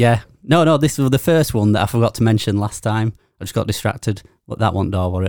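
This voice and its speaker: Speaking at a very fast pace, a man with a Yorkshire accent holds a medium pitch and ordinary pitch variation. The recording is very clean, with a silent background. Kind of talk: casual chat. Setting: studio.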